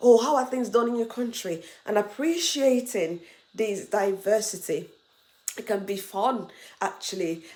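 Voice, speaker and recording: The speaker is a woman with a fairly high voice. She talks at a fairly slow pace. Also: ordinary pitch variation. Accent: Nigerian. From Nigeria. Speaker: international student and vlogger. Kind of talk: casual advice vlog.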